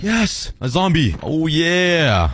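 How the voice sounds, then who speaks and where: An animated male voice with very wide pitch swings over noticeable background noise. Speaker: gaming video creator. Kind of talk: gameplay commentary.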